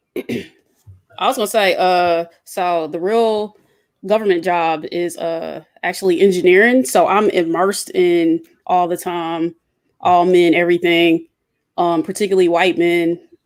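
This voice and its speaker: A woman speaks in an Atlanta accent at a fairly slow pace, her pitch fairly low. The recording is very clean with a silent background. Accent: Southern (Atlanta). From Atlanta, US South. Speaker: engineer, roundtable guest. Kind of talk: casual roundtable discussion.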